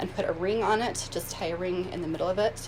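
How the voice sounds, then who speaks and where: With audible room echo and noticeable background noise, a woman talks at a medium pitch with fairly even intonation. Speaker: astrologer and energy healing coach. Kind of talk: live video tutorial. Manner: hesitant, many filler words.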